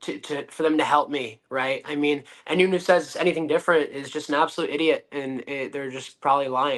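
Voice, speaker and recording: Speaking fairly quickly with an American accent, a man with an unremarkable speaking voice keeps a fairly high pitch and fairly even intonation. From Connecticut, US. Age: 20s. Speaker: professional wrestler. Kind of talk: podcast interview. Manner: confident, brash.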